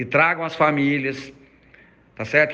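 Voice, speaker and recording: A man speaks with a Goiás accent. His tone is bright and sharp. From Goiás, Brazil. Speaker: school administrator. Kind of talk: recorded audio message.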